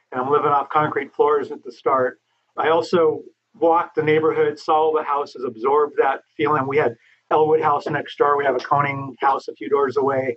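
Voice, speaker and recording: With an American accent, a man speaks at a moderate pace in a fairly high, flat, monotone voice. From Los Angeles, California. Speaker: architect. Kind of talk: interview.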